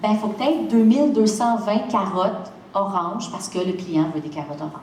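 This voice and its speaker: In a Quebec accent, a woman speaks at a moderate pace in a fairly high voice with an animated tone, with audible room echo and noticeable background noise. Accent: Québécois French. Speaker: seed company founder. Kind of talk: lecture. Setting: stage with audience.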